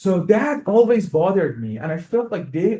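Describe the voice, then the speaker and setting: With an Iranian accent, a man speaks at a fairly slow pace. The background is quiet. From Iran, Tehran. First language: Persian. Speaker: music professor and composer. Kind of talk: lecture. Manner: halting, many fillers and repetitions.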